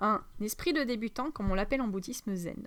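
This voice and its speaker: The woman speaks at a fairly quick pace in a fairly high pitch. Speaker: spiritual teacher, energy healer. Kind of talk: spiritual teaching monologue. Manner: halting, many fillers; fast.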